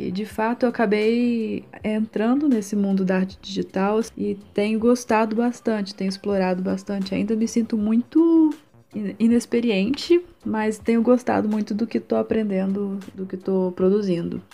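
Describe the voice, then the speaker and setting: A somewhat breathy voice with a dark, mellow tone. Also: woman, fairly high pitch for a woman, ordinary pitch variation, moderate pace. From Brazil, Minas Gerais (Juiz de Fora). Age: 20s. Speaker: illustrator and art student. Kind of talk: interview. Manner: halting.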